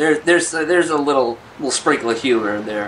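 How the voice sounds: A man talks at a fairly quick pace with medium pitch and a fairly bright tone. Faint background noise can be heard. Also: ordinary pitch variation.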